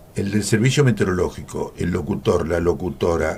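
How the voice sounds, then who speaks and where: This man's very deep, low voice has a dark, mellow tone and vocal fry, swinging very widely in pitch at a moderate pace. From Argentina, Coronel Dorrego, Buenos Aires province. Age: 80s+. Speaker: veteran radio announcer and journalist. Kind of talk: radio interview. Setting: radio studio.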